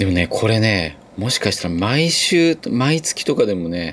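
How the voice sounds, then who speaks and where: A man talks with very wide pitch swings. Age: 40s. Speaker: podcast host, former bus driver. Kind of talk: casual solo monologue. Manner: chatty, many fillers.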